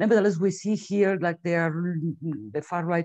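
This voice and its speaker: A woman's dark, mellow tone with fairly even intonation, dry and close with no echo, over a quiet background. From Spain. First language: Spanish. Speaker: webinar moderator. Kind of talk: webinar introduction. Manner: halting.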